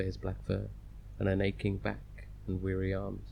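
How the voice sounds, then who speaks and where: A man's soothing tone with a British accent. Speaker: audiobook narrator. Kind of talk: audiobook reading. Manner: restful, soothing.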